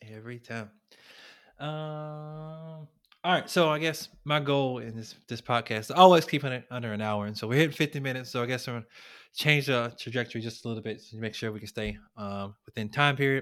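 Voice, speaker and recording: With a very clean recording and silent background, a man talks at a fairly quick pace in a normal speaking voice of medium pitch and ordinary pitch variation. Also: big swings in loudness. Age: 30s. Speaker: podcast host. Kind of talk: casual chat.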